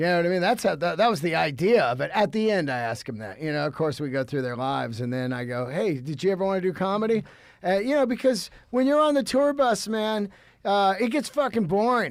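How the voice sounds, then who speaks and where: Captured very cleanly over a silent background, a man talks at a fairly quick pace in a high pitch with very wide pitch swings. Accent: American. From US West Coast, San Francisco Bay Area. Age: 50s. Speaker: comedian and podcaster. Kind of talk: casual chat.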